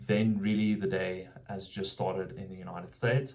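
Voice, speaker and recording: This man has a South African accent and a fairly low pitch. His tone is dark and mellow. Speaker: vlogger building a marketing business. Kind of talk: casual vlog monologue. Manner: halting, many fillers and restarts.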